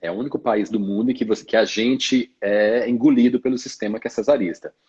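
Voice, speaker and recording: A man speaks at a fairly quick pace with a Bahian accent. His pitch sits in the medium range. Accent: Northeastern Brazilian (Bahian). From Salvador, Bahia (Brazilian Northeast). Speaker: obstetrician. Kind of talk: casual interview on a live stream.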